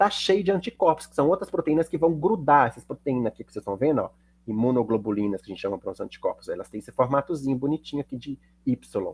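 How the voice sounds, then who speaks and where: Very fast and somewhat breathy, a man speaks with very wide pitch swings in a dry, close sound with no echo. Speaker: chemistry teacher. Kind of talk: lecture.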